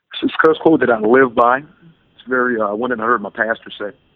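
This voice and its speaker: A man with a plain, everyday voice and an American accent speaks at medium pitch and a moderate pace, with ordinary pitch variation. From US South, Louisiana (New Orleans area, Slidell). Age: 30s. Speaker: life coach and motivational speaker. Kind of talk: podcast interview.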